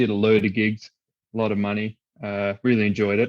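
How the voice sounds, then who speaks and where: Talking fairly quickly in a flat monotone, a man with an Australian accent and a fairly low voice is heard in a dry, close sound with no echo. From Australia (Perth). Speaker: musician and event band company manager. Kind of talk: podcast interview.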